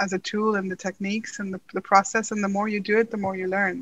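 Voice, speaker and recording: Here is a woman with a bright, sharp tone and fairly high pitch. The sound is dry and close, without echo. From Pakistan (Karachi). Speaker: financial journalist and novelist. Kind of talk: interview conversation.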